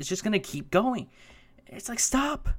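A man with a nervous tone at a fairly quick pace, in a very clean recording with a silent background. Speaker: YouTube commentator reviewing news articles. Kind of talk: angry rant. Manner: exasperated, fast, fragmented and repetitive, with stammering restarts; interrupts himself with nervous laughs, sounds incredulous and fed up.

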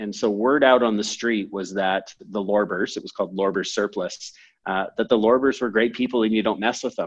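A man with a plain, everyday voice and fairly low pitch speaks at a fairly quick pace with fairly even intonation. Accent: Canadian. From Canada, moved from San Francisco at seven or eight. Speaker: entrepreneur and company CEO. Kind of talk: podcast interview. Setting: call.

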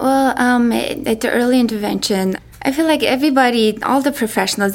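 In a Mongolian accent, a woman talks at a moderate pace. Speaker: parent of a deaf child. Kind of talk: panel discussion. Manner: halting.

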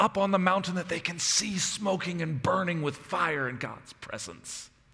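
A man's high voice at a moderate pace, with audible room echo and noticeable background noise. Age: 30s. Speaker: pastor. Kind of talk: sermon.

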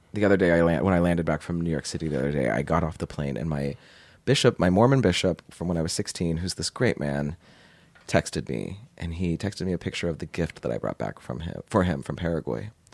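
This man's voice is very deep and low, with vocal fry and lively intonation. He talks at a very fast pace in a dry, close recording with no echo. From Portland, Oregon suburbs. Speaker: podcast co-host. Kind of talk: casual chat.

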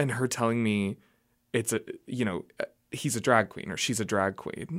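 A man's normal speaking voice with an American accent, fairly low pitch and moderate pace, on a very clean recording with a silent background. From Oklahoma. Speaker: drag performer. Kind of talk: casual interview. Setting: radio studio.

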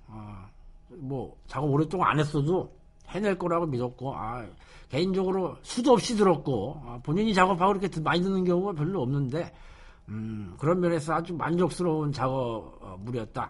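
A man with a fairly high pitch, very wide pitch swings, big swings in loudness and a moderate pace. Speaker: radio show host. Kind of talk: casual radio talk. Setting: studio. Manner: casual, conversational.

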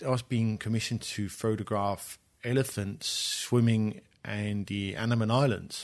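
A man is speaking. He has a Danish accent. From Denmark, Copenhagen. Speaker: photographer and artist. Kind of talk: interview conversation. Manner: hesitant, many fillers.

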